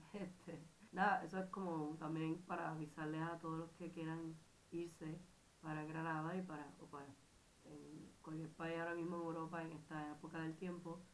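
Over noticeable background noise, a woman speaks at a moderate pace with audible room echo. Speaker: exchange student vlogger. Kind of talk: casual vlog. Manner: halting.

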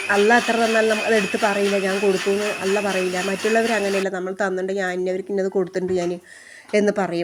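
Her voice sits at medium pitch, and the woman speaks with monotone, flat intonation. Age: 40s. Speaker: vlogger. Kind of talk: personal vlog testimony. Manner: halting.

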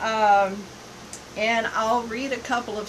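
A woman speaks in a fairly high pitch with monotone, flat intonation. Noticeable background noise runs beneath her. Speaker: missionary and live broadcaster. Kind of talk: live online broadcast answering viewer questions. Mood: earnest, preaching. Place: home room. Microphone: phone near.

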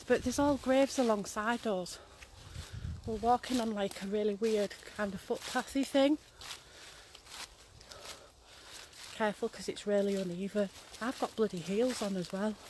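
A woman at a moderate pace with long, frequent pauses and ordinary pitch variation, dry with no echo, over light background noise. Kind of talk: casual vlog chat. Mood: nervous, laughing. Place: forest. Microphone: phone near.

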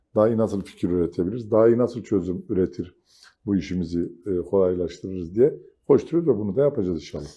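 Lively intonation marks this man's fairly low voice. He speaks at a very fast pace. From southeastern Turkey, Mardin. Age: 50s. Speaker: businessman and chamber of commerce council member. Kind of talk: TV interview.

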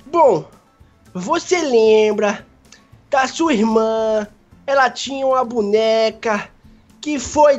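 In a whiny, put-on character voice pitched fairly high, a woman talks at a very slow pace with long, frequent pauses while faint music plays in the background. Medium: machinima. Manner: whiny, fearful, melodramatic.

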